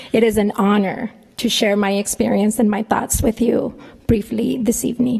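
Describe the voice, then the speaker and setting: Someone with a Spanish accent speaks at a moderate pace with ordinary pitch variation, amid noticeable background noise. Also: woman. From northern Mexico, raised in New Mexico. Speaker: professor. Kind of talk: commencement speech. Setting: ballroom ceremony with audience.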